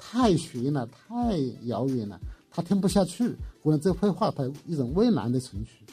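At a moderate pace, the speaker's dark, mellow voice swings very widely in pitch. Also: man. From Hunan, rural China. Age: 60s. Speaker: art professor and painter. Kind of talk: interview. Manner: halting, many fillers.

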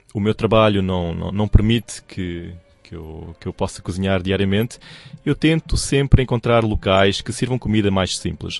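The speaker has a European Portuguese accent and ordinary pitch variation. The sound is dry and close, with no echo. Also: man. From Portugal. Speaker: radio newsreader. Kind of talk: interview. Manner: hesitant.

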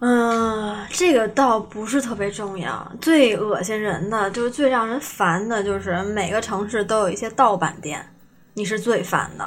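A woman talks in a normal speaking voice at a fairly slow pace, with ordinary pitch variation. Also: fairly high pitch for a woman. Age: young. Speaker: script-murder game shop owner. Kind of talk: casual interview chat.

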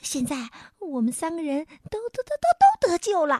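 A woman's put-on character voice at an extremely high pitch with very wide pitch swings, dark and mellow in tone, moderate in pace, with a dry, close sound and no echo

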